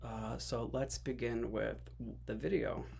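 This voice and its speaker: Room echo is audible as a man speaks with an American accent. He keeps to a fairly slow pace. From US, Greek American family. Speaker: YouTuber, religion commentator. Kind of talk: reaction commentary.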